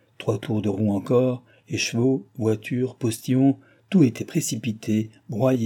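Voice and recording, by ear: Fairly even intonation throughout reading aloud in a natural voice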